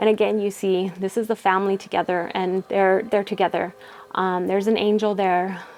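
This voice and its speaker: A woman speaks at a medium pitch in a flat monotone over noticeable background noise. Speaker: tarot card reader. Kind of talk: tarot reading monologue. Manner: fast; hesitant with many fillers.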